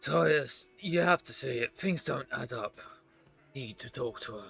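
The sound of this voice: A gruff, put-on character voice speaks at a fairly slow pace. Faint music plays in the background. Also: man, medium pitch for a man.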